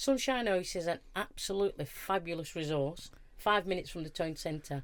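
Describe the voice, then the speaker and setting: A woman with a Lancashire accent talks at a moderate pace, her medium-pitched voice carrying lively intonation. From northern England, Wigan. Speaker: charity manager. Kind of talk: casual chat.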